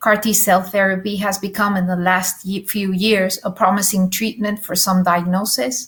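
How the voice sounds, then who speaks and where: At a moderate pace, a woman talks in a somewhat breathy voice of medium pitch. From Spain. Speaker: nurse, session chair. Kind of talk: conference introduction. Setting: virtual conference. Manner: hesitant, many fillers.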